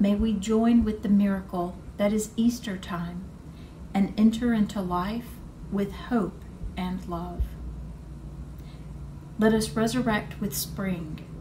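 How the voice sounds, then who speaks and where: Noticeable background noise behind a woman at a very slow pace, with fairly even intonation and long, frequent pauses. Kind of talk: liturgical reading. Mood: calm, solemn. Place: home room.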